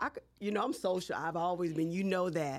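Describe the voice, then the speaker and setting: A woman with an American accent talks in an ordinary speaking voice. Her pitch is fairly low, with ordinary variation. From US South, Baton Rouge, Louisiana. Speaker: city council member and candidate. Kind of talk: interview.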